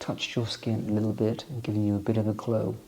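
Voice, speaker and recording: Soft-spoken and calm, a man uses a soothing tone at a fairly low pitch. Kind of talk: ASMR soft-spoken product walkthrough. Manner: soft-spoken, calm, soothing.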